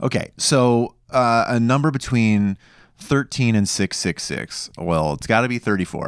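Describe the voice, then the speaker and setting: Lively intonation marks a man's plain, everyday voice at a medium pitch. He speaks at a fairly slow pace in a very clean recording with a silent background. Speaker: podcast host. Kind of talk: casual chat.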